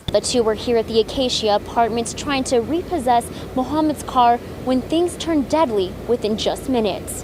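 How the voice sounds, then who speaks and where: A high-pitched woman speaks at a moderate pace with very even loudness and ordinary pitch variation, over noticeable background noise. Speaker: TV news reporter. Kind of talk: TV news reporting, stand-ups and packages.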